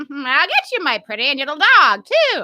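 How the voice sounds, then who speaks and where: A woman's cackling put-on character voice, high in pitch, at a moderate pace. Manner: cackling, menacing.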